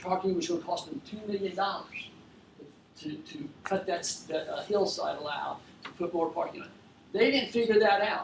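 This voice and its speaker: A man speaks with a high pitch and ordinary pitch variation. Room echo is audible, and background noise is noticeable. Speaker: furniture business owner. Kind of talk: talk to an audience. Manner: fast.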